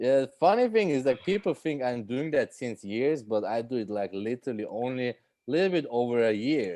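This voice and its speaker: This man speaks at a fairly quick pace with a Swiss accent. His tone is dark and mellow, and his pitch is medium. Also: quiet background. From Switzerland. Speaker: stand-up comedian. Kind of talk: casual interview chat. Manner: halting, many fillers.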